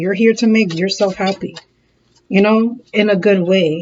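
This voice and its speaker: A woman's somewhat breathy voice at medium pitch. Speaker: tarot reader. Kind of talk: tarot reading. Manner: fast; animated.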